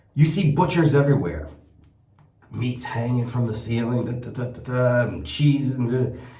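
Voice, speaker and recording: In a space with audible room echo, a man of medium pitch talks at a fairly slow pace. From United States. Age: 60s. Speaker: shaving product maker and vlogger. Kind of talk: casual vlog monologue. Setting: travelling in Italy. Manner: rambling, with many repeated words and fillers.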